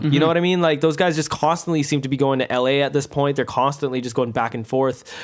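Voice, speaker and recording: In a very clean recording with a silent background, a man with a normal speaking voice talks at a fairly high pitch with ordinary pitch variation. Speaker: podcast host. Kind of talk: casual podcast interview.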